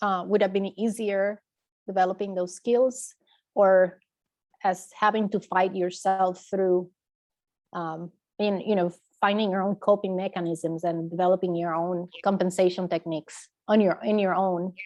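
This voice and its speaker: With a non-native accent, a woman speaks at medium pitch and a moderate pace in a flat monotone, against a quiet background. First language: not English. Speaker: audience member. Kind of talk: audience question. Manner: halting.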